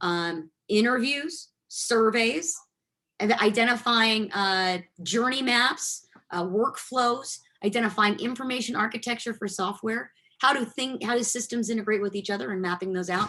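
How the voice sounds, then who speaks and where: Bright and sharp in tone, a woman's fairly high voice moves with ordinary pitch variation in a very clean recording against a silent background. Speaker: technology consultant, guest speaker. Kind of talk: guest lecture in a class. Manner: fast.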